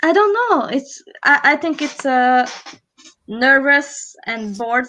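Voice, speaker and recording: A woman's bright, sharp tone at a very slow pace, with a Hungarian accent. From Hungary. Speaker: live stream co-host. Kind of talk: casual chat. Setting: live stream.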